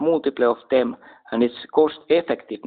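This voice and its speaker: Speaking at a moderate pace with a Finnish accent, a man has a fairly high voice and fairly even intonation. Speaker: military commentator. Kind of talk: casual talk to camera. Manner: halting.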